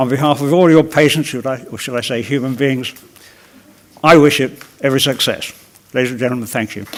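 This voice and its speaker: There is noticeable background noise as a man speaks at a fairly quick pace with long, frequent pauses. His voice sits at medium pitch with fairly even intonation. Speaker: patient. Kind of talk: prepared speech. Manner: avoids b sounds due to jaw loss.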